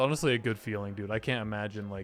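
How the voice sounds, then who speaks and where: Music plays in the background. Over it, a man speaks in an animated tone. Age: 20s. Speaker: gaming youtuber. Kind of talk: gameplay commentary. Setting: at his desk. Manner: casual, animated.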